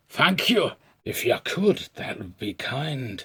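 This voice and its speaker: A man puts on a raspy character voice, fairly high in pitch, with very wide pitch swings. He delivers it at a fairly slow pace. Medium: read story.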